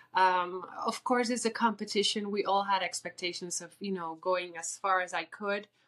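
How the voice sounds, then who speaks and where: In a Spanish accent, a woman talks with ordinary pitch variation. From Puerto Rico. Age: 30s. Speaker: beauty queen. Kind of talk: interview.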